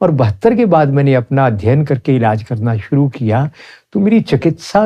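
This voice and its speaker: With a fairly high pitch that makes very wide swings, a man speaks in a somewhat breathy, dark, mellow tone at very even loudness. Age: 70s. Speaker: Ayurvedic practitioner. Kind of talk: interview.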